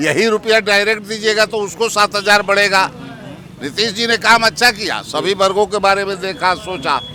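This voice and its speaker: A man with a high pitch projects a raised voice in fairly even intonation. Crowd noise fills the background. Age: 60s. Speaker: political activist. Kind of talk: interview.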